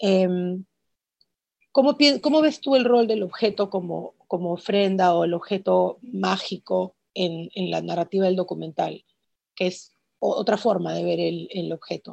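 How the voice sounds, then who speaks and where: Against a quiet background, a woman speaks at a fairly slow pace with a dry, close sound with no echo. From Peru. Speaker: visual artist and museum curator interviewing a filmmaker. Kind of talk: interview conversation.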